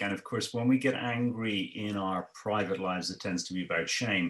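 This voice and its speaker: A man with an Irish accent talks at a moderate pace with ordinary pitch variation. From Ireland. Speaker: economist. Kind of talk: interview. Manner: halting, repeats words.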